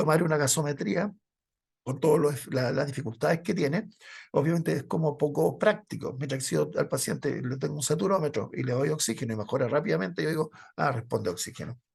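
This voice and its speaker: A man with a fairly high pitch talks very fast with lively intonation and vocal fry. The background is quiet. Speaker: medical lecturer. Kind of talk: lecture. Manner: intense.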